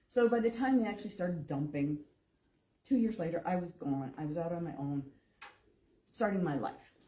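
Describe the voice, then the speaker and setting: With an American accent, a woman speaks at a fairly quick pace in a somewhat breathy, fairly low voice of dark, mellow tone, using very wide pitch swings and long, frequent pauses. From northern Illinois, US Midwest. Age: 60s. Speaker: public commenter. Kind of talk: public comment at meeting.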